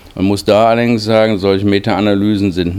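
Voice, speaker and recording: Fairly low male voice at a moderate pace amid noticeable background noise. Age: 50s. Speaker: diabetes researcher, professor. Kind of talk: interview. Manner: formal.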